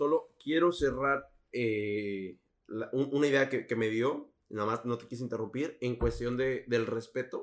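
This is a man with a normal speaking voice. He talks at a fairly slow pace in a medium pitch. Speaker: podcast host. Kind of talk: casual chat.

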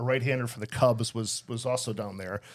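A man with a plain, everyday voice and an American accent speaks fairly quickly at medium pitch and fairly even intonation, in a very clean recording with a silent background. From Chicago area (Skokie). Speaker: accountant. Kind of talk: casual interview.

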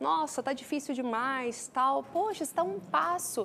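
A woman with a Goiânia accent speaks at a moderate pace, her pitch swinging very widely. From Brazil, Goiânia. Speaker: entrepreneur and speaker. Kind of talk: interview.

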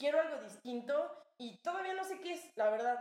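Lively intonation runs through speech delivered at a moderate speed. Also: woman. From Cuernavaca, Mexico. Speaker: podcast co-host. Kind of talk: casual chat.

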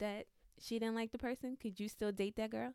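A woman speaks softly. Her intonation is monotone and flat. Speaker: podcast guest. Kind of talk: casual chat. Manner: soft-spoken.

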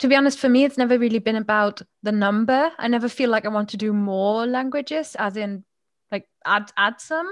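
A woman speaks with a German accent. Her pitch is fairly high. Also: ordinary pitch variation, fairly quick pace. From Germany, Moselle winemaking region. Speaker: podcaster and language coach. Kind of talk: casual chat.

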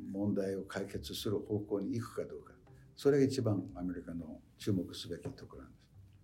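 Speaking at a fairly quick pace with an English accent, a man uses a fairly low pitch, ordinary pitch variation, vocal fry and big swings in loudness. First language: English (speaking Japanese). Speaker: professor emeritus of political science. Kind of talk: lecture.

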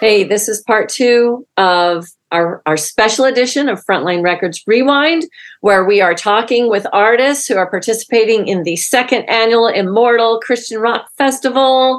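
Against a quiet background, a woman with a normal speaking voice talks at a fairly high pitch and a moderate pace, with ordinary pitch variation. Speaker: executive producer and co-host. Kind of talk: podcast intro and co-hosting chat.

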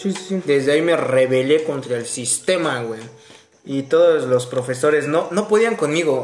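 Against noticeable background noise, a man with a Mexican accent speaks at a fairly slow pace in a fairly high pitch. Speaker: podcast co-host. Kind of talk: casual chat. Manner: animated.

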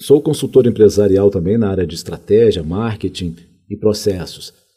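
A man's fairly low voice with a dark, mellow tone. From Minas Gerais, Brazil (Contagem; early childhood in Rio de Janeiro). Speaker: college director and administration professor. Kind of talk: interview conversation.

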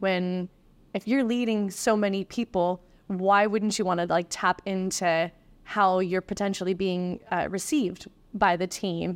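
An unremarkable speaking voice, a woman's at medium pitch, moves at a fairly slow pace with fairly even intonation, with a dry, close sound, no echo, a very clean recording and a silent background. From East Coast of Canada. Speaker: restaurant manager. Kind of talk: interview.

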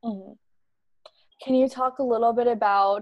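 A woman with an American accent, fairly even intonation, a dry, close sound with no echo and a quiet background. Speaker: student podcast host. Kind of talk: scripted narration; interview.

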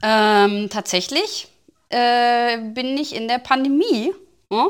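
A woman's high voice with lively intonation, a very slow pace and long, frequent pauses, on a very clean recording with a silent background. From Ruhr area, Germany. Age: 30s. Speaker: podcast co-host, TikTok creator. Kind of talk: casual chat.

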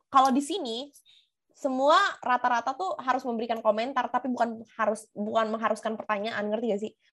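A woman talks at a very fast pace with a fairly high pitch and ordinary pitch variation. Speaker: podcast co-host. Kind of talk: casual chat.

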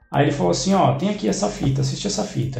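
A man with a fairly high pitch at a very fast pace, amid audible room echo and music in the background. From Brazil, São Paulo area (São Caetano do Sul). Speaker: interviewee sharing life story. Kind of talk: casual interview chat.

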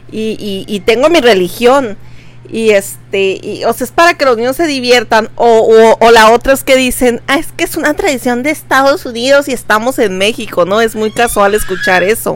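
A woman with an ordinary speaking voice talks at a moderate pace. Her fairly high pitch carries lively intonation. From Veracruz, Mexico. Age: 20s. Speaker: podcast co-host. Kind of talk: casual chat.

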